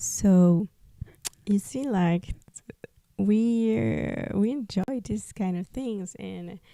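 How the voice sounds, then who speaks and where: Speaking very slowly, a woman with a Spanish accent has a dark, mellow tone. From Peru. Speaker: podcast host, artist. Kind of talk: personal testimony podcast. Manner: halting, many fillers.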